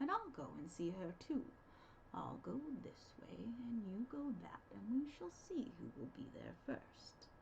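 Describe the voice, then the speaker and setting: A woman uses a put-on character voice at a fairly slow pace, with light background noise behind her. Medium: read story. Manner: sly, feigned gentleness.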